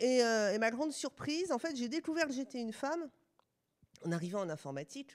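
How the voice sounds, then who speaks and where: On a very clean recording with a silent background, a woman with a fairly high pitch talks at a fairly quick pace, her pitch swinging very widely. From France. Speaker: sociologist and university researcher. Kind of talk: lecture. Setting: stage with live audience.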